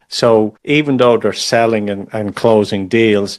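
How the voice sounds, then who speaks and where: Delivered at a moderate pace, the speech comes with an Irish accent. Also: man. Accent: Irish, understandable. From Ireland. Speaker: podcast host. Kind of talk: podcast interview. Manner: repeats words when starting sentences.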